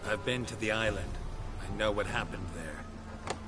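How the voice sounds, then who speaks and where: Over loud background noise, a man does a put-on character voice at a fairly low pitch and a moderate pace. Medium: video game. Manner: terse, flat, clipped.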